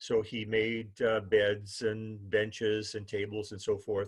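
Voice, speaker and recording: A man with a Canadian prairie accent, fairly low-pitched and monotone with flat intonation, at a very slow pace over a quiet background. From Manitoba, Canada (Winnipeg North End, East Selkirk). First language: Ukrainian. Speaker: human library speaker. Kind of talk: personal life story talk. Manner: halting, many fillers.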